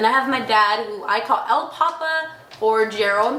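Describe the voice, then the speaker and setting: With an American accent and ordinary pitch variation, the voice comes through audible room echo and noticeable background noise. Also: woman. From Texas, Corpus Christi area. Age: 20s. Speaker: daycare teacher and waitress. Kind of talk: self-introduction monologue. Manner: casual.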